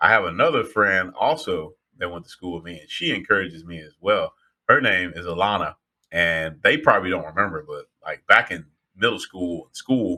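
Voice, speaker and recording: A man talks at a moderate pace with big swings in loudness. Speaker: podcast co-host and voice actor. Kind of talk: casual chat.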